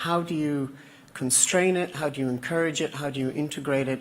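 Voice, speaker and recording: The speaker moves at a fairly quick pace in an Irish accent. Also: man. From Ireland. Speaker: audience member. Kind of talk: audience question.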